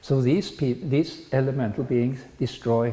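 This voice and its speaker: In a Norwegian accent, the voice comes across somewhat breathy and dark, mellow in tone at a fairly slow pace. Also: man. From Norway. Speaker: spiritual lecturer. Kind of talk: lecture. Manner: halting.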